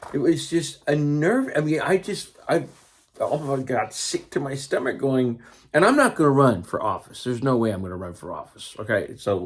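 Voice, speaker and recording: A man with an American accent and a fairly high pitch talks at a moderate pace with lively intonation. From California. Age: 60s. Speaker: teacher and political commentator. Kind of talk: casual monologue. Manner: halting.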